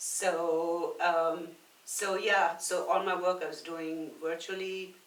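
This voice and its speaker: Very slow, flat, monotone speech from a woman with a fairly low pitch, plus audible room echo and noticeable background noise. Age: 60s. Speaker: personal trainer and nutrition coach. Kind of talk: casual podcast interview. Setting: podcast recorded at a brewery.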